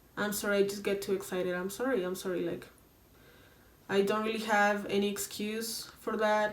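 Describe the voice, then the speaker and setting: Over noticeable background noise and audible room echo, a woman speaks at a moderate pace in a flat, monotone delivery. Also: medium pitch for a woman. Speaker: YouTuber. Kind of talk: casual vlog monologue.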